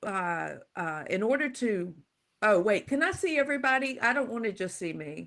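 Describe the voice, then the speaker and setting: A woman with a normal speaking voice and an American accent talks at a moderate pace and fairly high pitch with lively intonation, on a very clean recording with a silent background. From US South, Louisiana. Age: 60s. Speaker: psychological safety expert and author. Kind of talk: guest talk.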